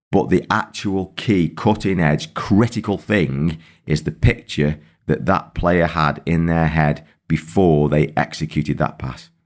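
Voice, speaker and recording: A man's very deep, low voice with vocal fry and ordinary pitch variation, on a very clean recording with a silent background. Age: 50s. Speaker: football coach and podcast host. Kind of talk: solo podcast monologue. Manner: halting, with repetitions and fillers.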